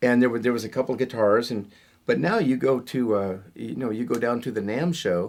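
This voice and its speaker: A man uses a normal speaking voice, talking at a moderate pace with pitch that varies a normal amount. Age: 60s. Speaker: rock guitarist. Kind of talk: interview.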